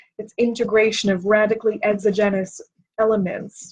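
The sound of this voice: At a moderate pace, a woman speaks with a fairly high pitch and a slightly mellow tone.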